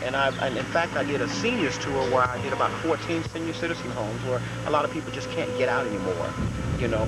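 Loud background noise surrounds a man whose voice sounds dry, without echo. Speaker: educator. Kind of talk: interview answer. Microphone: old recording.

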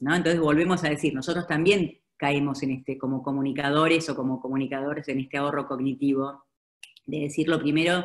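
Over a quiet background, a woman talks at a fairly quick pace in a very deep, low pitch with ordinary pitch variation. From Argentina. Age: 50s. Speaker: advertising executive; speaker. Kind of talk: webinar presentation. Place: home room. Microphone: video call.

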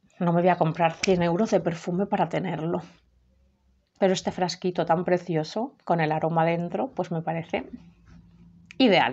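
A woman's moderate-paced speech with ordinary pitch variation and long, frequent pauses. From Spain. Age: 30s. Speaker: perfume youtuber; perfume reviewer. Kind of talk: product review. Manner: halting. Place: home room. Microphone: webcam.

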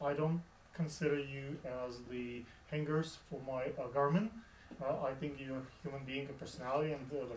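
A man speaks at a moderate pace. Audible room echo and light background noise surround his voice. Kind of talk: interview conversation. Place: home room. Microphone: camera far.

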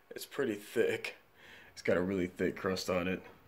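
At a moderate pace, a man speaks low in pitch with fairly even intonation.

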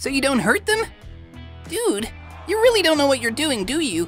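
Clear background music behind a put-on character voice at a moderate pace. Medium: machinima. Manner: easygoing, gently reasoning.

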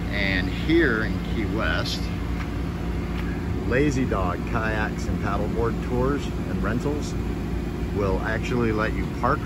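Over loud background noise, the speaker goes at a very slow pace. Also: dry sound with no echo. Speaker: travel vlogger. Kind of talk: casual vlog chat. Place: street. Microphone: phone near.

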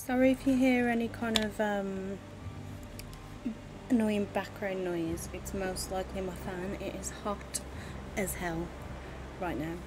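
A woman speaking at a fairly slow pace, with noticeable background noise. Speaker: game streamer. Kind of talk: casual gameplay commentary. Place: home room.

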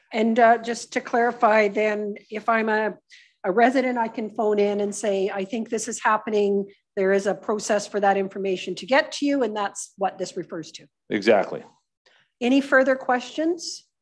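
Over a quiet background, a woman speaks at a moderate pace with ordinary pitch variation and big swings in loudness. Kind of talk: council meeting questions. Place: meeting room. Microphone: podium.

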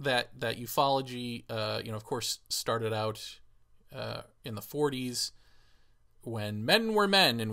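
A man's bright, sharp-toned voice over a quiet background. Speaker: vlogger. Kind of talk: casual vlog rant. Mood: critical, sarcastic. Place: home room. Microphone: studio mic.

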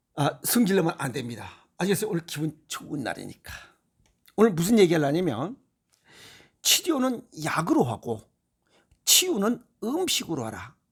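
A man with a high pitch speaks at a moderate pace, with very wide pitch swings and long, frequent pauses. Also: big swings in loudness. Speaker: health lecturer. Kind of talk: lecture. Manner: animated.

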